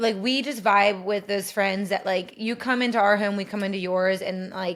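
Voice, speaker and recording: A woman with an American accent speaks at medium pitch with fairly even intonation. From US Midwest, southeast Ohio. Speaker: dentist and podcast co-host. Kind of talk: casual chat. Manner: fast, filler-heavy.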